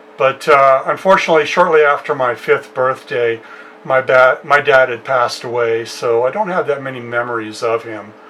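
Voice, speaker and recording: With an American accent, the man talks at a moderate speed as noticeable noise sounds behind him. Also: medium pitch for a man, ordinary pitch variation. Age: 60s. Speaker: musician and home studio youtuber. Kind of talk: casual personal storytelling. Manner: hesitant with many fillers.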